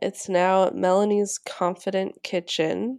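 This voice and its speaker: Here a woman talks. Her recording is very clean, and the background is silent. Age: 20s. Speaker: chef and cooking teacher. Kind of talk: interview.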